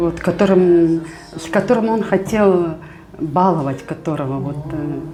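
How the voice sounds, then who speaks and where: A woman with a fairly low pitch and ordinary pitch variation talks with big swings in loudness. The recording has audible room echo and noticeable background noise. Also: fairly slow pace. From Kazakhstan. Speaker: teacher. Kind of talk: interview.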